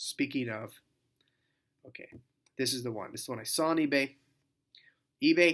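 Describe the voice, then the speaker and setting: Mumbling at a medium pitch, a man speaks with a bright, sharp tone. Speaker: record collector. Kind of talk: casual talk to camera. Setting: hotel room. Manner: hesitant, lots of fillers.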